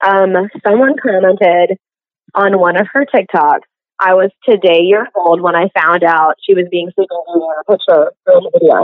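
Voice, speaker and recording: At a moderate pace, an ordinary speaking voice shows ordinary pitch variation. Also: woman. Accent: American. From US South, coastal Mississippi. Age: 20s. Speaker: cosplayer and character performer business owner. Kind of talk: casual interview chat.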